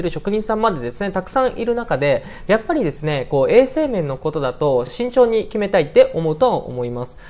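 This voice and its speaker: A man's very fast speech with very wide pitch swings. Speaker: presenter. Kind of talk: tutorial. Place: office.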